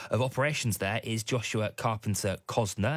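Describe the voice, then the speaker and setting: Somewhat breathy, a man speaks with a British accent. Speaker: overnight radio host. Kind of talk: radio interview.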